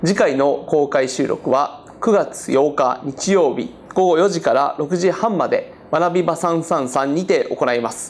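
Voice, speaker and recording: Though his pace is very slow, a man with high pitch and ordinary pitch variation speaks with hardly any pauses. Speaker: interviewer and politician; program host. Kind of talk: panel discussion. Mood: cheerful, smiling. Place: classroom. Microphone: lapel.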